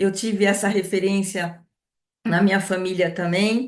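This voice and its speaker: At a fairly slow pace, a woman speaks in a plain, everyday voice of medium pitch. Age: 60s. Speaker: entrepreneur, essential oils distributor. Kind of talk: online presentation.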